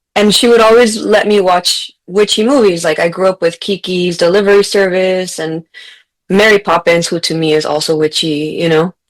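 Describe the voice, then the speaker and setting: With a Spanish accent, a woman talks at a moderate pace and medium pitch, with ordinary pitch variation. The sound is dry and close, with no echo. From US-Mexico border region, Mexican-American family. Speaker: author and teacher, podcast guest. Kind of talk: casual interview chat. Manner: conversational, some false starts.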